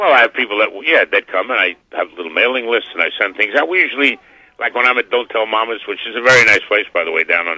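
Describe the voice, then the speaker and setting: A man speaks very fast with a New York accent, his medium-pitched voice carrying lively intonation. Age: 70s. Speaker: butcher and cabaret singer. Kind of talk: radio interview. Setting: phone call. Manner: animated.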